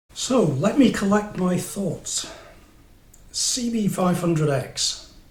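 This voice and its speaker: Speaking very slowly with lively intonation, a man with an English accent uses a high pitch, and the room echo is audible. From England. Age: 60s. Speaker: motorcycle reviewer. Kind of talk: casual review monologue. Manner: hesitant, many fillers. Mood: wry, humorous. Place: home room. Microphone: camera far.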